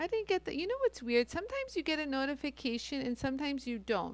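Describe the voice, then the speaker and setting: A loud woman's voice. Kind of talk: live-stream tutorial. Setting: live stream. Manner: animated, chatty.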